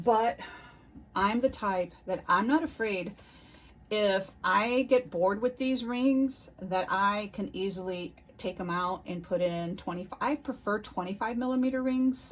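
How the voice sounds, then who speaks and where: Her voice medium in pitch and somewhat breathy, a woman speaks at a moderate pace with ordinary pitch variation on a very clean recording with a silent background. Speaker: planner YouTuber. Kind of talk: casual chat.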